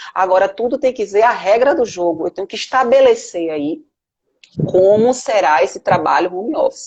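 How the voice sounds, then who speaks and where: This is a normal speaking voice with lively intonation, delivered at a moderate pace. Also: woman, fairly high pitch for a woman. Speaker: lawyer and management professor. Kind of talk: live web interview. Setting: Instagram live video call.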